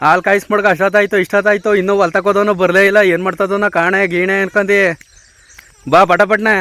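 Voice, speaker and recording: A man's high, raised, projected voice, flat and monotone, amid noticeable background noise. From Mandya district, Karnataka. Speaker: village vlogger. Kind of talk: casual vlog chat.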